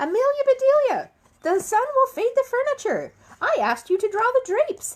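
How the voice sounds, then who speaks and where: A woman uses a squeaky, put-on character voice with extremely high pitch. She talks at a moderate pace with lively intonation. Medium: read story.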